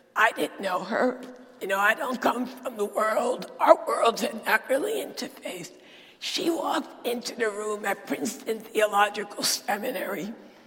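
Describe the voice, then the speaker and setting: Over music in the background, a woman speaks with a fairly high pitch and lively intonation. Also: moderate pace. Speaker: preacher. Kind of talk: sermon.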